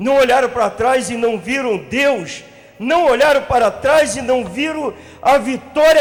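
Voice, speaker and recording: Speaking fairly slowly over noticeable background noise, a man uses an extremely high pitch with ordinary pitch variation. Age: 50s. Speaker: pastor. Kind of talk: sermon. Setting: church congress with audience.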